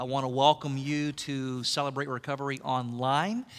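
At a fairly slow pace, a man talks with fairly even intonation against a quiet background. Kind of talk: welcome address to an online meeting. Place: stage.

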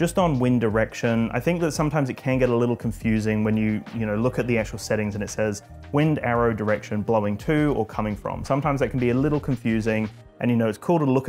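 Talking at a very fast pace, a man uses ordinary pitch variation while faint music plays in the background. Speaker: drone channel host. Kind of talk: tutorial. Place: home room. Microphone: lapel.

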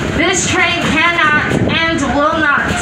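A woman talks at a very slow pace. Loud background noise sits behind her. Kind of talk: safety announcement. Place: train.

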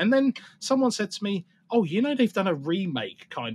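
A man speaks with an English accent, and the sound is dry and close with no echo. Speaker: podcast host. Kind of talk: casual chat.

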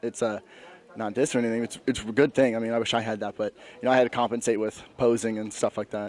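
In a dry sound with no echo, a man talks at a medium pitch with fairly even intonation. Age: 20s. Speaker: bodybuilding competitor. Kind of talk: post-competition interview. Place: hall. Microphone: handheld.

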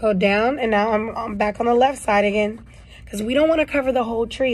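Her voice somewhat breathy, a woman talks at a fairly quick pace with fairly even intonation. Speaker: art teacher. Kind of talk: tutorial. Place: classroom. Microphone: phone near.

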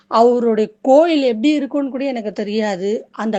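Mellow and dark, the tone carries. Its pitch moves in an ordinary way. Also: woman. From Chennai, India. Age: 40s. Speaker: domestic worker, devotee. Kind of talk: testimony. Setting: recorded voice message.

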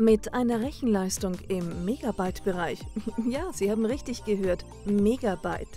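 Music can be heard in the background. The talking proceeds fairly slowly. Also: woman. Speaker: voice actor, professional narrator. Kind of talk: corporate explainer video narration.

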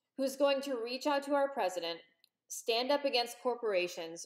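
Over a quiet background, a woman with a high pitch speaks with lively intonation. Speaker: political commentator vlogger. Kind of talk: opinion commentary. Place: home room. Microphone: webcam.

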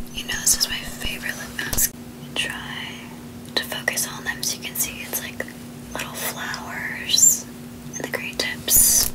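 A woman is whispering at a fairly slow pace, leaving long, frequent pauses. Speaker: ASMR beauty creator. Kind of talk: ASMR skincare routine talk to camera. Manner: soft, whispered. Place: home room.

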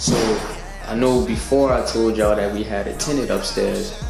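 A man at a moderate pace, with clear background music and audible room echo. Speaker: renovation vlogger. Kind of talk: casual vlog chat. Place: home room. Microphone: phone near.

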